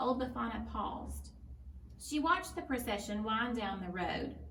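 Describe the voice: In a room with audible echo, a woman speaks at a fairly slow pace. Her fairly high pitch carries lively intonation.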